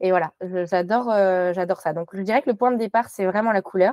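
A woman with an ordinary speaking voice, medium in pitch with ordinary pitch variation, is heard dry and close with no echo on a very clean recording with a silent background. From Morocco (French parents). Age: young. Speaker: textile designer. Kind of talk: interview.

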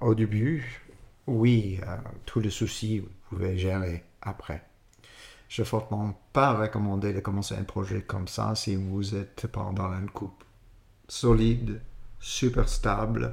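A somewhat breathy man with an American accent, speaking at a very slow pace with long, frequent pauses. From California. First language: English (speaking French). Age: 60s. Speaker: winemaker, former sommelier. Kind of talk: interview. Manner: halting.

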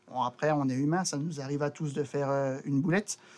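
His voice pitched fairly high, a man talks at a moderate speed in a flat, monotone way. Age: 30s. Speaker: railway maintenance technician. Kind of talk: casual interview. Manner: halting, with repetitions.

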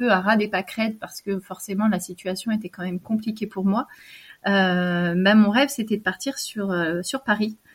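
A woman speaks at a fairly slow pace with a medium pitch and fairly even intonation. Her voice is somewhat breathy. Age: 30s. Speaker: abuse survivor. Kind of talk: testimony. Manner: halting.

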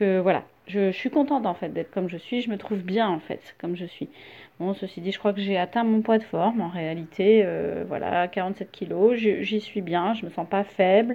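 Her loudness swinging widely, a woman speaks at a moderate pace and a medium pitch with ordinary pitch variation. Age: 40s. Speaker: listener sharing testimony. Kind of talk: recorded testimony. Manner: halting.

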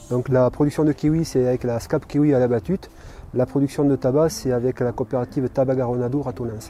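Over noticeable background noise, a man talks fairly quickly at a medium pitch with fairly even intonation. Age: 40s. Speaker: farmer. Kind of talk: interview. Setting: on his farm. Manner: halting.

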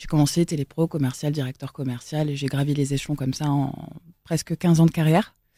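Recorded very cleanly against a silent background, a woman talks at a fairly quick pace in a dark, mellow tone, the sound dry and close with no echo. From Normandy (Elbeuf, near Rouen). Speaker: event organiser. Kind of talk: casual chat.

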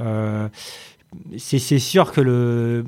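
The man's voice sits at a medium pitch. It rises and falls in an ordinary way. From Paris region, France. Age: 30s. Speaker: tech company CEO. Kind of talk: interview conversation. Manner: halting.

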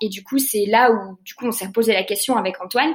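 There is noticeable background noise behind the woman speaking. Her pitch is fairly high, with ordinary variation. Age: 20s. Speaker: eco-fashion concept store co-founder. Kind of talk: interview.

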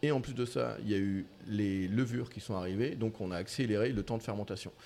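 At a moderate pace, a man talks with a fairly low pitch, a dark, mellow tone and ordinary pitch variation. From France, Mayenne. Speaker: baker. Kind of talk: casual chat. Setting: back kitchen of a bakery. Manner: halting, many repetitions.

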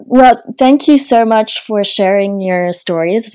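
The speaker has a French accent and a dark, mellow tone. The pace is fairly slow, with lively intonation. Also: woman. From France. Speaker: podcast host. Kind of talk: interview.

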